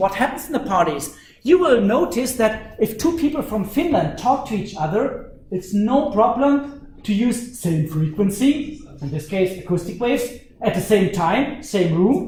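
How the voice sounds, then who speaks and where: Speaking with a German accent, a man uses a high pitch and lively intonation at a moderate pace. Audible room echo surrounds his voice. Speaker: university lecturer. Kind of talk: lecture. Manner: animated.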